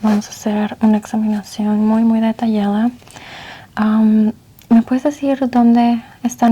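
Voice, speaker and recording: Soft-spoken and fairly high in pitch, a woman talks at a fairly slow pace in a monotone, flat intonation. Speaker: ASMR roleplay doctor. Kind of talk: medical exam ASMR roleplay.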